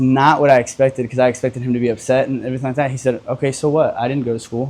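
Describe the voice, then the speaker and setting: The man's voice sits at a medium pitch. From US, partly raised in Mexico. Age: 20s. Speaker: entrepreneur. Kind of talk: casual interview. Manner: animated.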